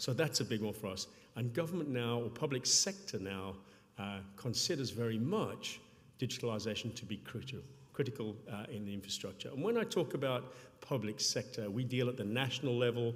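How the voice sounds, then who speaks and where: A man talking at a fairly quick pace with ordinary pitch variation, with audible room echo around him. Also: medium pitch for a man. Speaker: payments company public sector executive. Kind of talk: conference talk. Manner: fast.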